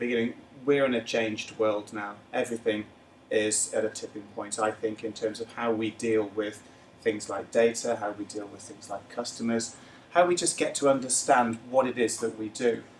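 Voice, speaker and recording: His loudness swings widely from moment to moment. The man's pitch is medium, with ordinary variation. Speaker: corporate analytics presenter. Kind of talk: business presentation. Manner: fast.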